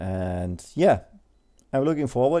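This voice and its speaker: A man's medium-pitched voice with a German accent and a dark, mellow tone. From Germany. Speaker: airsoft hobbyist video maker. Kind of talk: tutorial voice-over. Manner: halting, many fillers.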